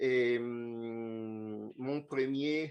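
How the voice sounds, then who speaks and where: A man with an Italian accent speaks at a medium pitch. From Italy. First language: Italian (speaking French). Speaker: conference speaker, social project planner. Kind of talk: lecture presentation. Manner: halting, many hesitations. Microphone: remote connection, poor sound from room.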